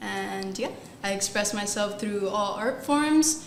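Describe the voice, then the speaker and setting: A woman with an American accent talks fairly slowly at a medium pitch. Audible room echo and noticeable background noise fill the recording. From Hialeah, Miami, Florida. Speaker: photographer and digital artist. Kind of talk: panel discussion.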